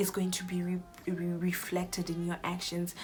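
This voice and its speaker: There is noticeable background noise. Through it, a woman speaks at medium pitch. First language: not English. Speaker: YouTuber. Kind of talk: casual Bible teaching talk. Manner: halting, self-correcting.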